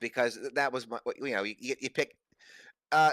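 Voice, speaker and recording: On a very clean recording with a silent background, a man talks very fast and loud at a fairly high pitch. His tone is bright and sharp, and his intonation is lively. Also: dry, close sound with no echo. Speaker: gamer guest on stream. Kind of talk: casual chat. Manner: halting, repeats words.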